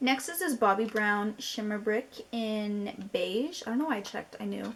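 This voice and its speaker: A woman talks at a moderate pace in a somewhat breathy voice. Her pitch is fairly high, with ordinary pitch variation. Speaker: beauty youtuber. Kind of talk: casual product review vlog. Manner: animated.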